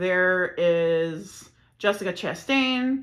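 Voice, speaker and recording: A woman speaks with an American accent and ordinary pitch variation. Her tone is bright and sharp. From Chicago area, Illinois. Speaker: podcast host. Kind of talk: casual monologue. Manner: filler-heavy, rambling.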